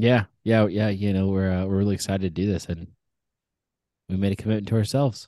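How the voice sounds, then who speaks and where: Speaking very fast yet with long, frequent pauses, a man with an American accent uses a fairly low pitch, fairly even intonation and a dark, mellow tone against a quiet background. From Orange County, California. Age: 30s. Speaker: podcast co-host, former baseball player. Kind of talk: casual chat. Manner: hesitant, many fillers and repetitions.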